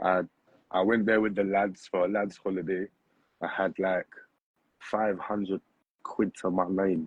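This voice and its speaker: A man with a British accent speaks at a fairly slow pace in a very deep, low pitch, flat and monotone, with very even loudness and long, frequent pauses. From London, England. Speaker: poet. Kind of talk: casual interview chat. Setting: livestream.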